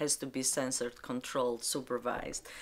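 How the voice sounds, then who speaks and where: In a very clean recording with a silent background, a woman with an Albanian accent speaks in a very deep, low pitch. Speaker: librarian. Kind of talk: interview testimony. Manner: halting.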